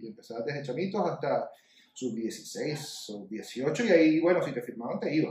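This man speaks with a Venezuelan accent. His pitch is fairly high. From Venezuela (Maracaibo, then Caracas). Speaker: sports podcast co-host. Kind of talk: casual chat.

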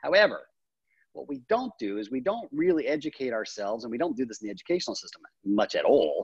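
In an American accent, a man talks at a very fast pace, his loudness swinging widely. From US, childhood split between Japan and the US. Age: 40s. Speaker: life coach and training academy founder. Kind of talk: interview conversation.

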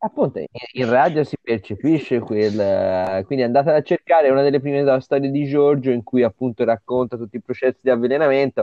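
This man has an unremarkable speaking voice at medium pitch, talking at a fairly quick pace with ordinary pitch variation. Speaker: comics festival director. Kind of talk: casual interview.

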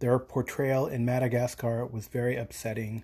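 A man's somewhat breathy voice, dark and mellow in tone, medium in pitch, at a fairly slow pace. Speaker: podcast listener leaving voicemail. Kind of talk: voicemail message. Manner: sniffling.

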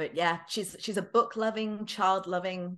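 A woman speaks in an English accent at a fairly slow pace. The background is quiet. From England. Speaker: author. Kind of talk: casual interview.

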